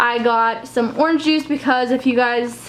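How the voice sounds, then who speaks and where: Against noticeable background noise, a woman speaks with a high pitch. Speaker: lifestyle vlogger. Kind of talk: casual vlog haul. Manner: fast.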